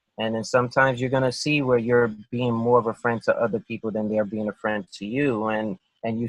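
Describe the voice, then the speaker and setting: A man at a medium pitch talks at a fairly quick pace in a monotone, flat delivery, recorded dry and close with no echo. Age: 40s. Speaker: interview guest. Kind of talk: interview. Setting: call. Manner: halting, many fillers.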